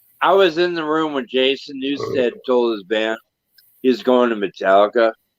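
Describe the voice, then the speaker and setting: This man has an ordinary speaking voice at medium pitch, with lively intonation. He talks at a moderate pace, and the sound is dry and close with no echo. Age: 50s. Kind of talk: casual chat.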